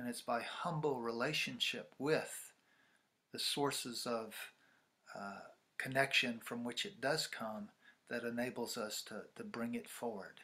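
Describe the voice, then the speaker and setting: A man with a bright, sharp tone and ordinary pitch variation talks at a fairly slow pace, leaving long, frequent pauses. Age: 60s. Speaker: ceremonialist and spiritual teacher. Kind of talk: interview. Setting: video call. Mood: calm, reflective. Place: home room.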